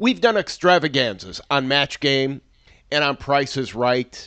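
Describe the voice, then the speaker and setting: A man's ordinary speaking voice, moderate in pace, fairly high in pitch, with lively intonation. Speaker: TV podcast host. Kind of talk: casual banter.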